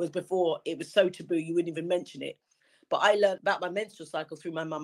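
A woman speaks with a London accent. Her pitch is medium. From London, England. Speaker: campaign patron. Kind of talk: interview.

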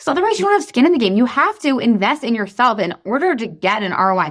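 Very fast and animated, a woman speaks in a high pitch with very wide pitch swings on a very clean recording with a silent background. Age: 30s. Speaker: life and weight loss coach. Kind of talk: casual chat; sales pitch.

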